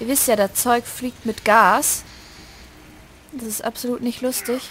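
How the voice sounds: Fairly high in pitch with a fairly bright tone, a woman speaks at a fairly slow pace with fairly even intonation.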